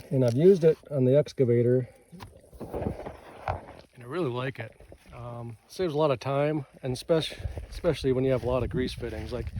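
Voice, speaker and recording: In a Minnesotan accent, the speaker talks at a fairly quick pace with a relaxed tone and ordinary pitch variation, leaving long, frequent pauses. Noticeable background noise runs underneath. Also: man, medium pitch for a man. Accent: Minnesota. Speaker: rancher and tool reviewer. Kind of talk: casual product review vlog. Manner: relaxed, rambling with fillers.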